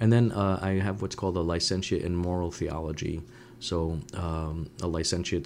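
In a New England accent, a man speaks in a very deep, low voice with ordinary pitch variation. The recording is very clean, with a silent background. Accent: New England American. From Woonsocket, Rhode Island (French-Canadian family). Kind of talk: interview.

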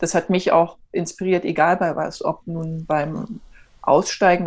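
A woman with a fairly low-pitched voice speaks at a moderate pace. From eastern Germany, Erfurt. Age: 40s. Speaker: entrepreneur, network marketer. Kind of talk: interview. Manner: animated.

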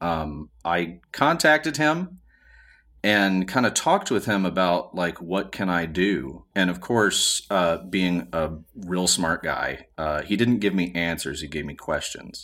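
Over a very clean, silent background, a man with a Southern US accent speaks very slowly in a very deep, low pitch, his tone bright and sharp and his intonation lively. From US South, Montgomery, Alabama. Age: 40s. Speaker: musician and podcast editor. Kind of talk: casual chat.

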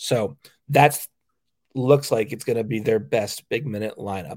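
A man uses a normal speaking voice with medium pitch and ordinary pitch variation at a moderate pace. The recording is very clean with a silent background. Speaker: sports podcast host and beat writer. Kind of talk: casual sports chat, analytical and rattling off stats. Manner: conversational, stumbling and repeating words.

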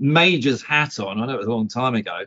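Lively intonation marks this man's normal speaking voice, pitched medium. He speaks at a fairly quick pace. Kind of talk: casual chat.

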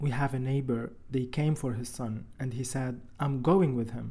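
Speaking fairly slowly in an Arabic accent, a man has a dark, mellow tone at medium pitch. His delivery is somewhat breathy, with monotone, flat intonation. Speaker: father of disappeared son. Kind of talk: testimony.

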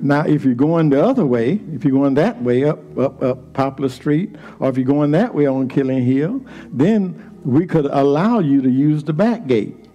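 A man with an American accent speaks at a moderate pace and a fairly high pitch, with lively intonation and an animated tone. His loudness stays very even, and there is noticeable background noise. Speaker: preacher. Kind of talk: sermon. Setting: church. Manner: animated, call-and-response preaching with repeated phrases; fervent, rhythmic, building to shouts.

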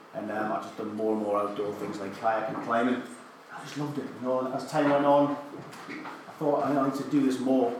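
With audible room echo and noticeable background noise, a man talks at a fairly quick pace and a medium pitch, with ordinary pitch variation. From northern England, County Durham. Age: 30s. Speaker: army veteran and adventurer. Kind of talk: talk to a live audience.

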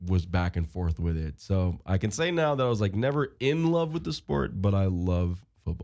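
A man's very deep, low voice with a dark, mellow tone and an American accent, against a quiet background. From Long Island, New York. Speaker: football player. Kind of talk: interview.

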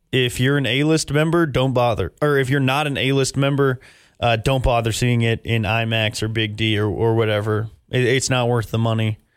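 This man has a plain, everyday voice at a medium pitch, with an American accent. He keeps a moderate pace, fairly even intonation and very even loudness. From Texas. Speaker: podcast host and movie reviewer. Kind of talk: casual chat.

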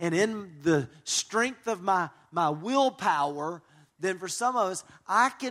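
Speaking at a very slow pace with a Southern US accent, a man uses a high pitch and lively intonation on a very clean recording with a silent background. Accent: US South. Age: 40s. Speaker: pastor and marriage conference speaker. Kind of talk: conference talk.

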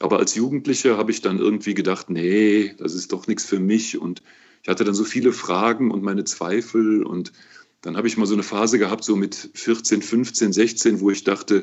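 A man talks in a fairly low voice. His pace is moderate. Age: 60s. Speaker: auxiliary bishop. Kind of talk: interview. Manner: relaxed.

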